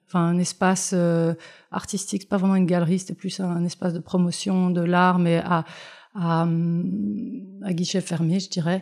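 A woman with a fairly low voice talks at a fairly slow pace with fairly even intonation. The recording is very clean, with a silent background. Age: 40s. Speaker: gallery owner. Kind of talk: interview conversation. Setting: on location in her art space. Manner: halting, many hesitations.

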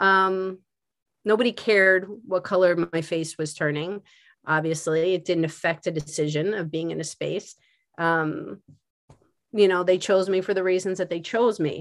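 In a plain, everyday voice, a woman speaks at a moderate pace with medium pitch and fairly even intonation. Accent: American. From Philadelphia. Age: 50s. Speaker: art teacher. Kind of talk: casual chat.

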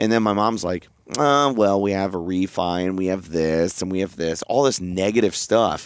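Moving at a moderate pace with ordinary pitch variation, a man's very deep, low voice comes through on a very clean recording over a silent background. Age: 30s. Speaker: podcast co-host and father. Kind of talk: casual chat.

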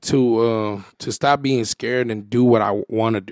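With fairly even intonation, a man talks in a normal speaking voice at a medium pitch. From San Jose, California. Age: 30s. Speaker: content creator and comedian. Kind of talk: casual chat. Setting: studio.

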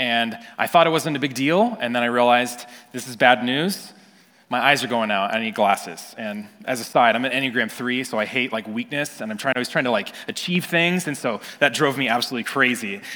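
With a West Coast US accent, a man of medium pitch speaks with ordinary pitch variation. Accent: General American (West Coast). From Northern California. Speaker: pastor. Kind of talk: sermon.

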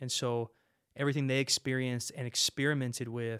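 A man with an American accent speaks at medium pitch in a monotone, flat intonation, with a dry, close sound with no echo in a very clean recording with a silent background. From California Central Valley (Modesto). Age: 30s. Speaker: police officer and ministry worker. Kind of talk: interview testimony.

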